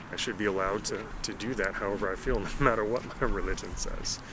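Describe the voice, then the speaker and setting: Talking at a very fast pace with ordinary pitch variation, a man with an American accent is heard amid noticeable background noise and audible room echo. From US South. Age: 40s. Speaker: military veteran and healthcare worker. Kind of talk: casual chat.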